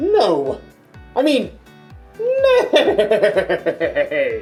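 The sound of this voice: An extremely high, put-on character voice comes through with faint music in the background.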